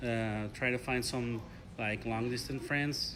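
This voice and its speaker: Speaking at a moderate pace, a man with a Spanish accent holds a medium pitch and fairly even intonation. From Mexico. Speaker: graduate student, English learner. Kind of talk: interview. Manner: halting.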